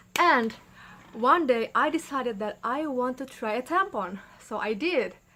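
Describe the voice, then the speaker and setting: This woman has a high, bright, sharp voice with lively intonation and a non-native accent. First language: not English. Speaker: YouTuber and midwifery student. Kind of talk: casual vlog talk.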